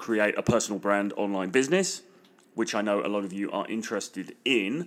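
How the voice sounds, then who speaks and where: In a British accent, a man speaks at a moderate pace on a very clean recording with a silent background. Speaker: podcast host and dating and business coach. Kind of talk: solo podcast monologue promoting a free course. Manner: enthusiastic.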